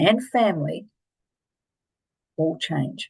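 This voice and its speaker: A woman's somewhat breathy, fairly low-pitched voice with an Australian accent. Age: 60s. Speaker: life coach and keynote speaker. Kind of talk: online presentation on a coaching program. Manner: animated.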